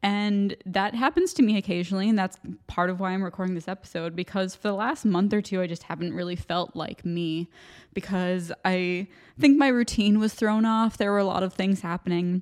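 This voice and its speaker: A woman with a plain, everyday voice and an American accent speaks at medium pitch and a fairly quick pace, on a very clean recording with a silent background. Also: ordinary pitch variation. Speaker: podcast host. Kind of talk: solo monologue pep talk. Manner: casual, chatty, rambling.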